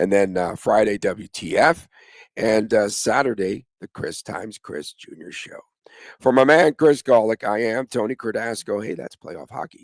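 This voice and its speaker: A man at a moderate pace, with lively intonation and big swings in loudness, in a dry, close sound with no echo on a very clean recording with a silent background. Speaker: hockey podcast host. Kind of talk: podcast sign-off.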